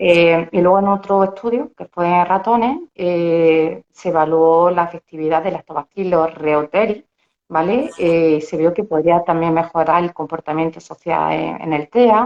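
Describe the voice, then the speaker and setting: Using a plain, everyday voice, a woman with a fairly low pitch talks at a fairly slow pace with hardly any pauses and ordinary pitch variation. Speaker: dietitian-nutritionist. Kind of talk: interview.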